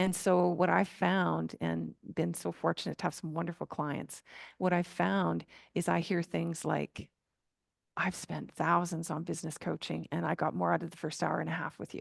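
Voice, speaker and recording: Against a quiet background, a woman speaks at a moderate pace, her voice dry and close with no echo. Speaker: flow coach. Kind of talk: podcast interview answer.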